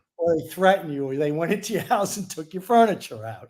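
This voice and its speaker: With a New York accent and lively intonation, a man speaks on a very clean recording over a silent background. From New York City. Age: 60s. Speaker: sports betting handicapper. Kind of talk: interview.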